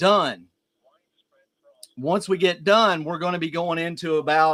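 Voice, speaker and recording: Here a man talks at a moderate pace in a high pitch, his tone bright and sharp and his pitch variation ordinary. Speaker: weather streamer. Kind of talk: live severe weather coverage.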